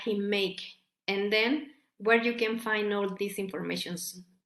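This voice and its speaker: In a Mexican accent, the voice moves at a fairly slow pace in a flat monotone, with audible room echo. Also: woman. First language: Spanish. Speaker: academic researcher. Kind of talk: conference presentation. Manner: halting, with many repetitions and fillers.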